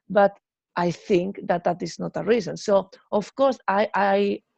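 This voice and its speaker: A woman with a Spanish accent, medium pitch and vocal fry, at a fairly slow pace, in a dry, close sound with no echo. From Spain. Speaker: musician. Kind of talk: interview.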